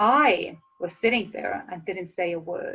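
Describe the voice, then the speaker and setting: This woman speaks at a fairly slow pace with an Estonian accent. Her pitch sits in the medium range. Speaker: motivational speaker. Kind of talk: webinar presentation. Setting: live online webinar.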